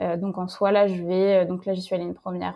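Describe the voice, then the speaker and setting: Dark and mellow in tone, the voice keeps a monotone, flat intonation. The background is quiet. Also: woman. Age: 20s. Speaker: fashion brand founder. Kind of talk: interview. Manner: hesitant, many fillers.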